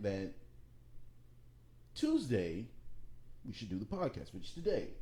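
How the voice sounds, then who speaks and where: A man's voice is somewhat breathy with a dark, mellow tone. His intonation is lively. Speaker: podcast co-host. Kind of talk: casual chat. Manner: quieter than co-host.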